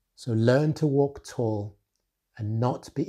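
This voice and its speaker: In a dark, mellow tone, a man talks at a fairly slow pace, somewhat breathy, with ordinary pitch variation over a quiet background. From Nigeria. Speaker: author and retail executive. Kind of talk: motivational talk to camera. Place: home room. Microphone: lapel.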